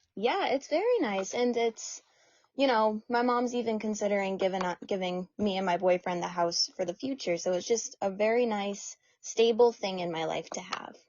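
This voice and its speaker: A woman speaks at a medium pitch and a moderate pace. She has a normal speaking voice with ordinary pitch variation. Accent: American. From US Northeast, central New Hampshire. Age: 20s. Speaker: ultramarathon runner. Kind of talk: casual interview chat.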